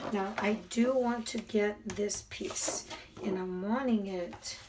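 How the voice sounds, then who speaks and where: Over noticeable background noise, a soft-spoken woman talks with fairly even intonation. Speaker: crafter. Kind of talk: tutorial. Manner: subdued.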